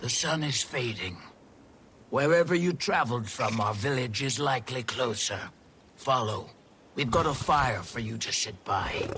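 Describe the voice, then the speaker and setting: Using a put-on character voice, a man with a medium pitch talks at a moderate pace. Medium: video game. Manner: calm, firm.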